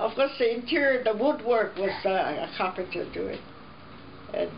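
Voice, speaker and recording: With very wide pitch swings, a woman talks at a moderate pace through noticeable background noise and audible room echo. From Hawaii, Honolulu. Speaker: family elder interviewed. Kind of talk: life story interview. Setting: at home.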